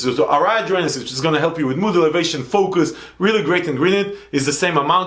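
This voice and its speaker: Animated and very fast, a man talks amid noticeable background noise and audible room echo. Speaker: supplement reviewer. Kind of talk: product review.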